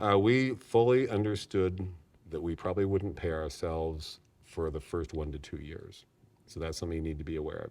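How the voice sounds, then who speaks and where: A man with a Californian accent speaks in a very deep, low pitch. The background is quiet. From US West Coast (San Diego, California). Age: 60s. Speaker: nursery owner, entrepreneur. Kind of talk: interview.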